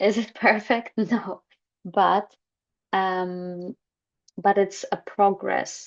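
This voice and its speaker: A woman speaks with a Polish accent, medium in pitch, monotone and flat. She goes very slowly, with long, frequent pauses. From Poland. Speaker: holistic therapist. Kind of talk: personal talk to camera. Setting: screen-share recording. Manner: hesitant, many fillers.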